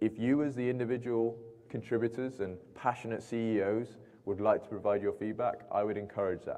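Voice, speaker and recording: A man with a British accent, medium pitch, fairly even intonation and a fairly quick pace. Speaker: aviation company representative. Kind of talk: Q&A at industry meeting.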